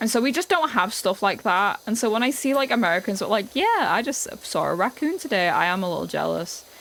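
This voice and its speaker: A woman with a British accent talks very fast at a fairly high pitch, with hardly any pauses. Her pitch swings very widely while her loudness stays very even. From England. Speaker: streamer. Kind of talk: casual chat.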